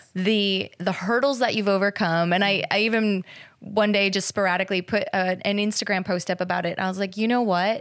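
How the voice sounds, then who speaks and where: A woman with an American accent talks at a fairly quick pace, her medium-pitched voice an unremarkable speaking voice with fairly even intonation. Her loudness stays very even throughout. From Minnesota. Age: 40s. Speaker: fitness trainer and gym co-owner. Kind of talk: personal testimony interview.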